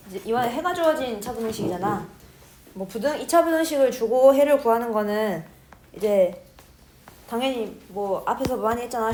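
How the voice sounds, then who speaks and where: Fairly high pitch from a woman, at a fairly quick pace, amid audible room echo. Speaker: math teacher. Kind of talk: lecture. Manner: fast.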